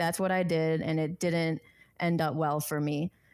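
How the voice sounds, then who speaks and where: With an American accent, a woman talks at a fairly slow pace in fairly even intonation, a normal speaking voice. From US Midwest, Chicago. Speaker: formerly incarcerated activist. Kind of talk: podcast interview.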